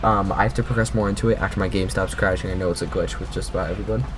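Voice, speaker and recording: Amid noticeable background noise and audible room echo, a man talks at a very fast pace in a very deep, low voice. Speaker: gaming youtuber. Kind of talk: casual gaming commentary. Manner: animated.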